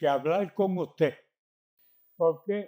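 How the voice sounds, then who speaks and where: This man has a dark, mellow tone and speaks with a Puerto Rican accent. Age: 80s+. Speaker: community elder. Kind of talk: oral history interview answer.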